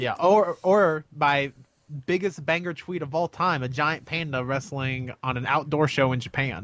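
A man talks in a normal speaking voice. His pace is fairly slow, and his pitch variation is ordinary. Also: fairly high pitch for a man. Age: 20s. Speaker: wrestling podcast co-host. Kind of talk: casual chat.

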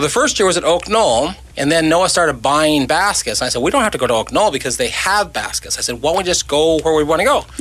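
A man with a fairly high pitch speaks at a very fast pace with hardly any pauses, lively intonation and very even loudness. Noticeable background noise runs underneath. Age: 60s. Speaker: cancer charity organizer. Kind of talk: casual chat.

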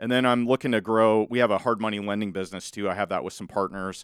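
A man with a Midwestern US accent at a fairly quick pace, fairly even in intonation, in a dry, close sound with no echo. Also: very clean recording, silent background. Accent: US Midwest. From Southwest Iowa (Malvern). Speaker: real estate investor and podcaster. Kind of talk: casual interview. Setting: studio.

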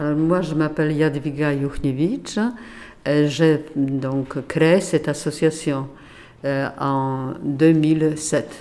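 A woman talks at a very slow pace with a Polish accent. Her pitch is very deep and low, and her intonation is fairly even. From Poland, Warsaw. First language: Polish (speaking French). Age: 80s+. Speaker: retired teacher, association founder. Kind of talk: interview. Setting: association office. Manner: halting.

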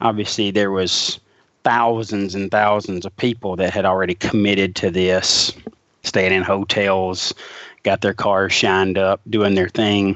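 Speaking at a fairly slow pace, a man keeps a fairly low pitch in a monotone, flat intonation. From Alabama. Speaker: podcast host. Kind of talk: casual podcast chat.

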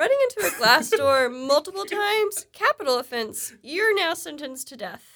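A woman's high, bright, sharp voice in a playful tone, with very wide pitch swings, big swings in loudness, a moderate pace and hardly any pauses. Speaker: company podcast host. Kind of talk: casual interview.

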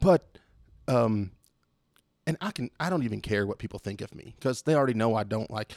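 Dry and close with no echo, on a very clean recording with a silent background, a man speaks at a fairly quick pace and medium pitch with ordinary variation. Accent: Texan. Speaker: returning podcast guest. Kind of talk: casual chat. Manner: animated.

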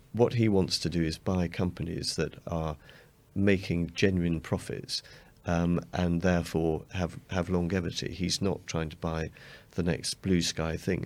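In an English accent, a man with a very deep, low pitch speaks at a fairly slow pace with fairly even intonation, on a very clean recording with a silent background. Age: 50s. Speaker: fund manager. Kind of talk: interview.

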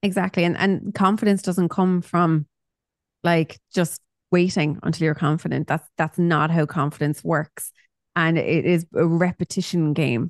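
Recorded with a dry, close sound, no echo and a quiet background, a woman speaks at a fairly slow pace with a Cork accent, fairly low pitch, fairly even intonation and very even loudness. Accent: Cork Irish. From Ireland, Cork. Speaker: psychotherapist and mindset coach. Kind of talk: casual chat.

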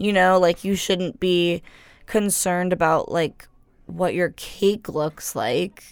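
In a very clean recording with a silent background, a woman speaks at a very slow pace. Her medium pitch holds a fairly even intonation. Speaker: student radio co-host. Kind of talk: casual chat. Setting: studio.

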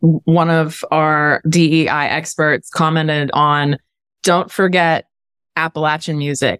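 With monotone, flat intonation, a woman speaks at a very deep, low pitch in a dry, close sound with no echo. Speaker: podcast host. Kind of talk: interview conversation.

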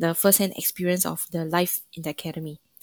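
A woman with a Singaporean accent at a fairly quick pace, fairly low in pitch with monotone, flat intonation, on a very clean recording with a silent background and a dry, close sound with no echo. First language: not Mandarin. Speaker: brass musician and student. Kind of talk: casual interview.

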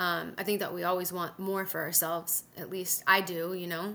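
A woman with a Californian accent has a medium pitch and a bright, sharp tone on a very clean recording with a silent background. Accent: Californian American. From Southern California. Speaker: TV sports anchor. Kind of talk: interview. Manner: casual, filler-heavy.

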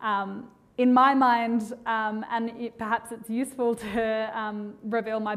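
A fairly high-pitched woman with an Australian accent and monotone, flat intonation. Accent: Australian, stark. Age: young. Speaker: policy researcher. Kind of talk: panel discussion.

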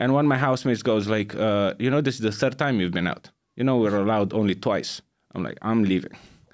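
On a very clean recording with a silent background, a man with a fairly low pitch and ordinary pitch variation speaks at a very fast pace. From Romania. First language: Romanian. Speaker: stand-up comedian. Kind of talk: casual chat.

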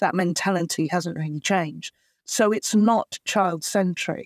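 A woman with a British accent speaks at a medium pitch and a moderate pace, with ordinary pitch variation. The recording is very clean and dry, with a close sound, no echo and a silent background. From England. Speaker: actor and writer, adoptee advocate. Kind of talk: interview conversation. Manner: hesitant, many fillers.

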